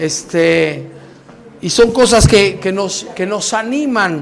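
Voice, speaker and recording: Ordinary pitch variation at a fairly slow pace, with audible room echo and noticeable background noise. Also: man. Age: 60s. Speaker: pastor. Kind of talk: sermon.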